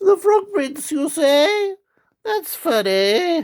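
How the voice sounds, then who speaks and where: This man uses a put-on character voice. He speaks at a very slow pace. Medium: read story.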